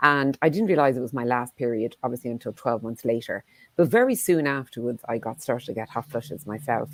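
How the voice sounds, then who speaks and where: With an Irish accent, a woman talks at a very fast pace in a very deep, low voice. Her pitch varies in an ordinary way, and the sound is dry and close with no echo. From Ireland. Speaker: menopause clinic founder and CEO. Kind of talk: panel discussion.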